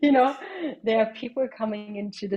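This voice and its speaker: A woman speaks with a German accent. Her pitch variation is ordinary. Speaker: singer-songwriter and sound healer. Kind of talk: podcast interview. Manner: halting.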